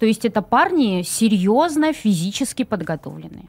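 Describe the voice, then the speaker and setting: Faint music plays in the background. A woman talks at a fairly slow pace in a fairly high pitch. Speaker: cultural centre methodologist; guest. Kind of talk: live studio interview. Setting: studio. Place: studio. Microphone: studio mic.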